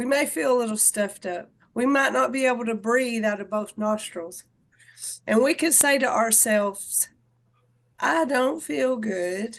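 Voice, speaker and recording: With a Southern US accent, a woman talks at a fairly slow pace. Her pitch is fairly high and her intonation lively. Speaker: fitness and wellness instructor. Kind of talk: casual group video chat. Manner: loud.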